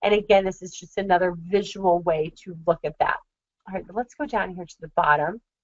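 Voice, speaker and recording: With a plain, everyday voice, a woman speaks at medium pitch and a fairly quick pace, showing big swings in loudness and ordinary pitch variation. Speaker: marketing consultant. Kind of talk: webinar. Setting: screen-share webinar.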